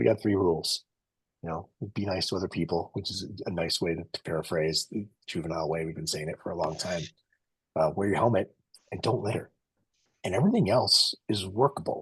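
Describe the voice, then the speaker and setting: Pausing long and often, a man talks at a fairly quick pace in a very deep, low pitch, somewhat breathy, with ordinary pitch variation. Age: 50s. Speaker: race organizer and webinar host. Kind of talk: webinar chat. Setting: webinar video call. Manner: casual, with filler words.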